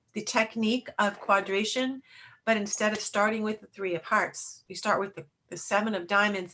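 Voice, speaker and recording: This voice belongs to a woman. Her tone is bright and sharp. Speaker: card reading teacher. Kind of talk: online class lecture. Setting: video call.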